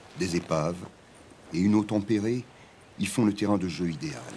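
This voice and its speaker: A man is speaking. His pace is fairly slow. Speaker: voice-over narrator. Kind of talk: documentary narration.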